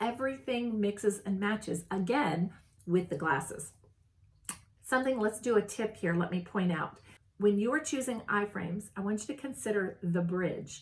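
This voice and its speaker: At a moderate pace, a woman with an ordinary speaking voice talks with lively intonation. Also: medium pitch for a woman. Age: 60s. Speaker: style consultant, video host. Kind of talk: casual tutorial. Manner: casual, with frequent fillers and restarts.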